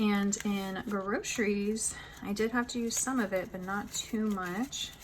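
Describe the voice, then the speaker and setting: Speaking with an American accent, a woman uses a medium pitch and fairly even intonation at a fairly slow pace, with noticeable background noise behind her. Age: 20s. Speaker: budgeting vlogger. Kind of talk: tutorial. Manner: casual, conversational.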